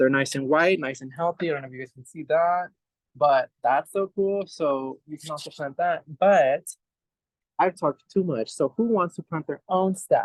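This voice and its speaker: This man has a high pitch and a Spanish accent, an animated tone with ordinary pitch variation, big swings in loudness and a moderate pace, in a dry, close sound with no echo. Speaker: urban farm manager. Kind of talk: hands-on demonstration. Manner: casual, animated.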